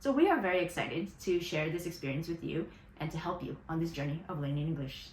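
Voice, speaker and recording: A woman with a fairly low pitch and ordinary pitch variation speaks at a very fast pace amid noticeable background noise and audible room echo. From United States (moved from Taiwan at age two). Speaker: English teacher and coach. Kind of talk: casual chat. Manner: animated.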